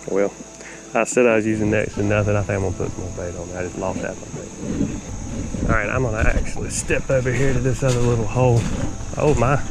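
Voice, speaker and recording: Someone with a Southern US accent talks at a very fast pace over noticeable background noise. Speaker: fishing video creator. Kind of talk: casual outdoor tutorial. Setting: outdoors at a creek. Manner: soft-spoken.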